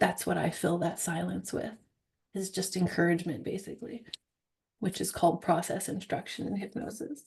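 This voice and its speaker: A woman talks with a fairly low pitch, vocal fry and ordinary pitch variation. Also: moderate pace. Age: young. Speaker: hypnosis trainer. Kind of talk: teaching Q&A after live demo. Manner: bubbly, talkative.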